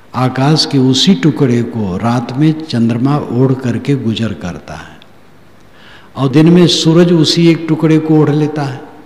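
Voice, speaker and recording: A man's fairly high voice with ordinary pitch variation, over noticeable background noise. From rural North India. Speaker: spiritual preacher. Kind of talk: religious discourse.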